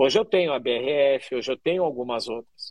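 The recording has a dry, close sound with no echo. On it, a man talks at a fairly quick pace. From Curitiba, southern Brazil. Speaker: chef and social entrepreneur. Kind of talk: interview conversation.

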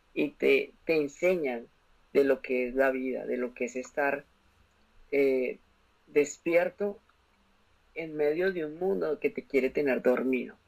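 At a fairly slow pace, a man uses lively intonation in a fairly high pitch. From Colombia, Bogotá. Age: 20s. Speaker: commercial pilot and motivational speaker. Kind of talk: testimony.

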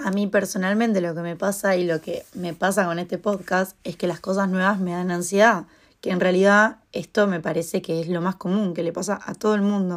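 At a moderate pace and with hardly any pauses, the voice holds a monotone, flat intonation over a very clean recording with a silent background. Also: woman, medium pitch for a woman. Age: 20s. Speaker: podcast host and freelance model. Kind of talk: casual solo monologue.

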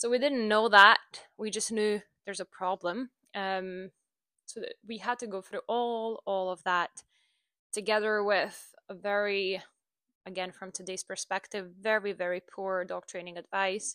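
A woman with a non-native accent speaks at a fairly slow pace with fairly even intonation. Her tone is bright and sharp, and her loudness swings widely. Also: medium pitch for a woman. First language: not English. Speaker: dog trainer and podcast host. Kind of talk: casual solo monologue. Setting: home recording with microphone. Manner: halting, many fillers.

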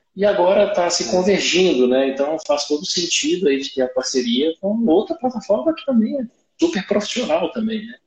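The man's pitch moves in very wide swings. He talks at a fairly quick pace. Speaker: solar company founder. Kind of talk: live-streamed interview.

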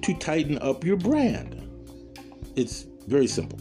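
A man talks at a fairly slow pace, his pitch swinging very widely. Music plays in the background. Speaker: podcast host; former radio broadcaster, media professional. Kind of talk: casual, conversational instruction.

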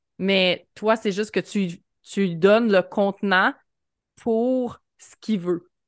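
Against a quiet background, a woman with a Quebec accent speaks at a very slow pace and medium pitch, her intonation fairly even and her loudness swinging widely. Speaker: podcast host. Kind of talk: casual interview chat.

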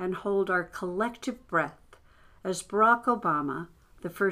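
With ordinary pitch variation, the speaker reads in a natural reading voice.

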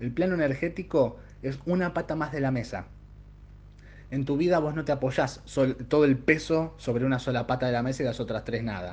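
Somewhat breathy, a man speaks fairly quickly at medium pitch with ordinary pitch variation. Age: 30s. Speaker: tarot reader and podcast host. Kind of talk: solo podcast monologue.

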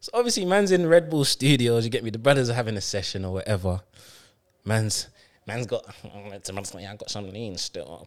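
Using lively intonation, a man with an ordinary speaking voice talks at a fairly quick pace and a medium pitch. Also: big swings in loudness. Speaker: podcast host. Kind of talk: casual banter.

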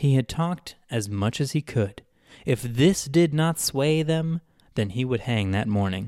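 Lively intonation in a natural reading voice

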